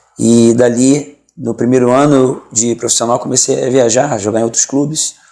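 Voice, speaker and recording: Medium in pitch, a man speaks in a dark, mellow tone with monotone, flat intonation. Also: moderate pace. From Rio de Janeiro, Brazil. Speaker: pastor, former professional footballer. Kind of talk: interview. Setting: studio.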